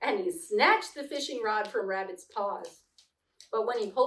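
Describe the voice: A quiet background behind plain reading aloud.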